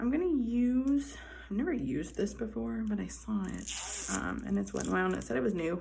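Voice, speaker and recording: Quiet and fairly quick, a woman speaks with audible room echo and noticeable background noise. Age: 20s. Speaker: beauty vlogger. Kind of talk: makeup tutorial. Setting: indoors in a hallway.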